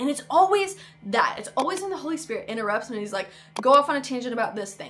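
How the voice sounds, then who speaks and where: Speaking very fast in an American accent, a woman with a high pitch sounds enthusiastic, with very wide pitch swings and big swings in loudness over noticeable background noise. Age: 20s. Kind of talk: casual vlog talk to camera. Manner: enthusiastic, chatty.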